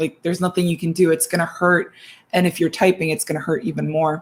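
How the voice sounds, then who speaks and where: Her intonation fairly even, a woman speaks in a fairly low, somewhat breathy voice. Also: very clean recording, silent background. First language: not English. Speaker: writing chat co-host. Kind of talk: casual chat. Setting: livestream.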